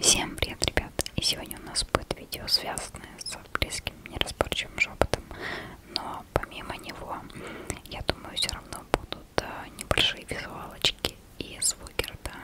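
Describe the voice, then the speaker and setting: A soft-spoken speaker whispers at a moderate pace with long, frequent pauses. Loud background noise is present. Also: woman. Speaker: ASMR creator. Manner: close soft ASMR whisper. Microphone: studio mic.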